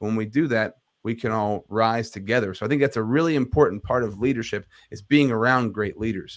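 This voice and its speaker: Speech moves at a fairly quick pace with ordinary pitch variation. The recording is very clean, with a silent background. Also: man, medium pitch for a man. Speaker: leadership coach and podcaster. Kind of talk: interview. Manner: clear enunciation.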